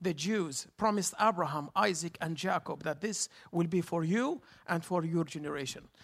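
On a very clean recording with a silent background, a man with an Arabic accent speaks at a fairly slow pace with ordinary pitch variation. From Jerusalem. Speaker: tour guide. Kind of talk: guest sermon.

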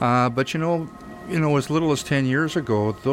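With music in the background, a man can be heard speaking. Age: old. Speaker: film instructor and colorist, radio guest. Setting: radio studio.

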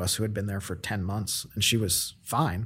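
Fairly low in pitch and somewhat breathy, a man speaks at a fairly quick pace with fairly even intonation. The recording is very clean and the background silent. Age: 30s. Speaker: real estate company president. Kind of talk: casual interview.

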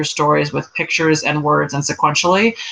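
With an American accent, a woman speaks at a fairly quick pace in a very deep, low pitch, over noticeable background noise. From New York. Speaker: artist and educator. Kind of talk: casual chat.

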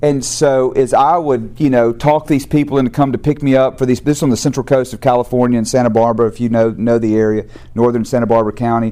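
Talking very fast with a Southern US accent, a man at medium pitch has a dark, mellow tone and fairly even intonation. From US South. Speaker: recovery program founder and speaker. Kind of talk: testimony. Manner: halting, frequent repeated words.

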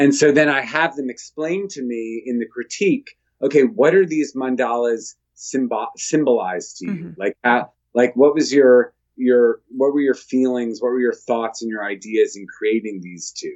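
Using a plain, everyday voice, a man talks at a moderate pace with big swings in loudness. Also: medium pitch for a man, ordinary pitch variation. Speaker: visual artist. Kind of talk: casual interview conversation. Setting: Skype call.

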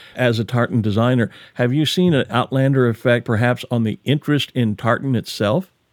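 A man with an American accent has an ordinary speaking voice at medium pitch with ordinary pitch variation. The sound is dry and close, with no echo. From United States. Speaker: podcast host. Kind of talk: interview with scripted narration.

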